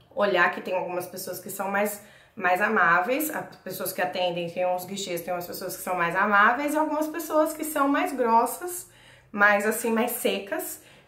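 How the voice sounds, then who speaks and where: The voice swings very widely in pitch at a moderate pace, with audible room echo and noticeable background noise. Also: woman, medium pitch for a woman. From Brazil, São Paulo. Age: 20s. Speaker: vlogger. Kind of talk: casual vlog, personal experience and tips. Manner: talkative, chatty.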